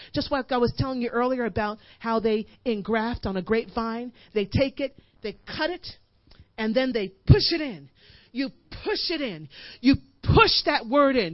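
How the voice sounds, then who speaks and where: Her pitch high and her intonation lively, a woman speaks at a moderate pace with long, frequent pauses. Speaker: guest preacher and worship leader. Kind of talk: sermon, building to impassioned exhortation with congregation call-and-response. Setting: church service before a live congregation. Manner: hammering, repetitive drive, piling up 'you push it in' with rising intensity.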